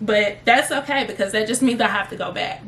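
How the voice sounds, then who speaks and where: A woman with a slight Southern US accent speaks with ordinary pitch variation. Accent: slight Southern country. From US South, Memphis, Tennessee. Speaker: travel vlogger. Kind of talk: casual chat to camera. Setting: home office.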